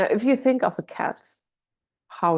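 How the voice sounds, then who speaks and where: A woman with a German accent, a dark, mellow tone and vocal fry, speaking at a fairly slow pace against a quiet background. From Germany. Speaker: doula. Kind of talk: online workshop. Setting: video call. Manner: hesitant, many fillers.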